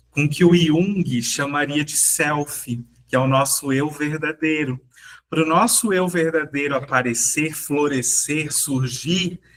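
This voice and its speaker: Speaking at a very slow pace, a man has a fairly high pitch. His pitch varies in an ordinary way. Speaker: self-development teacher. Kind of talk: workshop talk. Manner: slower, deliberate.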